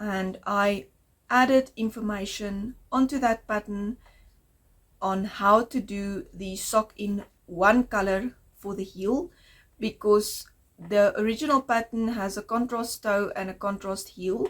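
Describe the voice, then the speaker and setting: A somewhat breathy woman's voice, fairly high-pitched, at a fairly slow pace with ordinary pitch variation. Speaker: knitting podcaster. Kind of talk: casual video podcast monologue.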